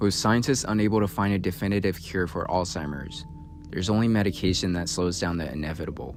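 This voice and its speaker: The man's pace is fairly quick and his pitch varies in an ordinary way, with music playing behind him. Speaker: new content creator. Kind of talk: video essay narration.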